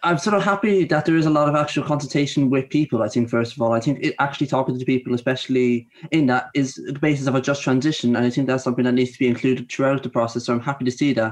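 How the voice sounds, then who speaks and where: A man with an Irish accent at a medium pitch, very fast and with hardly any pauses. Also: ordinary pitch variation. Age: 20s. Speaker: youth council member. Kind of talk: panel discussion.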